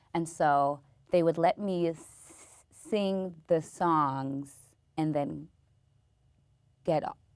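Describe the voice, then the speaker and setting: With an American accent, a woman speaks in a fairly low voice at a very slow pace. Long, frequent pauses break up her speech. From US West Coast, Inglewood, California. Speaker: stand-up comedian and actress. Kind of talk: interview. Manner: halting, with repetitions and blocks.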